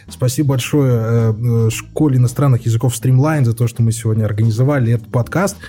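A man with an ordinary speaking voice talks at a medium pitch and a fairly quick pace, with ordinary pitch variation, very even loudness and hardly any pauses. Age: 30s. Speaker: podcast host. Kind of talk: casual chat.

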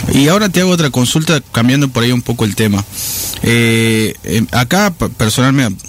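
Noticeable background noise is present. The talking moves along at a fairly quick pace. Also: man. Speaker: radio co-host. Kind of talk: radio interview. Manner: halting.

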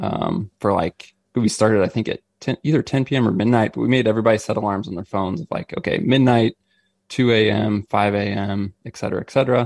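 An unremarkable speaking voice with an American accent moves at a fairly quick pace with ordinary pitch variation. The sound is dry and close with no echo. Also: man. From Missouri. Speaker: outdoor gear company staffer and hunting podcaster. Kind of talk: casual interview chat.

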